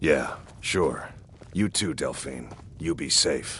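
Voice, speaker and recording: A man does a put-on character voice, raspy and very deep, speaking at a very slow pace over clear background noise. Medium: video game. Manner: terse, folksy.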